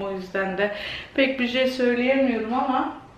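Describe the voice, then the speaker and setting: Audible room echo and light background noise accompany speech delivered at a moderate pace. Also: woman. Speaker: home vlogger. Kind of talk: casual vlog chat. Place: kitchen. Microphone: phone near.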